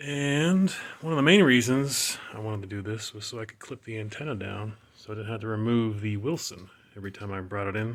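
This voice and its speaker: Mumbling at a fairly quick pace, a man with a fairly low pitch and ordinary pitch variation shows big swings in loudness amid noticeable background noise. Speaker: car hobbyist. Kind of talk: tutorial. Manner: hesitant, many fillers. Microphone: poor audio quality.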